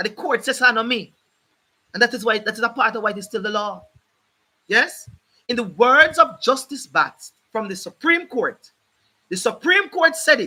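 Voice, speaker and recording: Speaking with a Jamaican accent in a raised, projected voice, a man sounds animated, with an extremely high pitch, a bright, sharp tone, lively intonation, big swings in loudness and long, frequent pauses. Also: moderate pace. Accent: Jamaican English with patois features. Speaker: legal commentator, channel host. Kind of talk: live stream talk on law. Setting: live stream. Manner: animated, emphatic.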